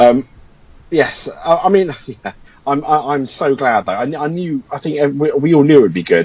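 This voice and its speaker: A man with an English accent, fairly high pitch, ordinary pitch variation and a moderate pace. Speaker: podcast co-host. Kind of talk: casual chat.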